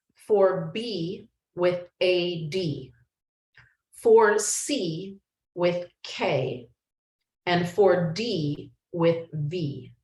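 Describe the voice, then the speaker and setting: A woman speaks very slowly in a somewhat breathy, fairly low voice, with ordinary pitch variation. She leaves long, frequent pauses. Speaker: yoga teacher and life coach. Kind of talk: online class instruction. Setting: video call with screen share.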